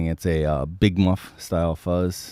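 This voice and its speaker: A man talks at a fairly slow pace with a very deep, low pitch and a dark, mellow tone. The sound is dry and close with no echo, in a very clean recording with a silent background. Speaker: musician and livestream host. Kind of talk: casual chat.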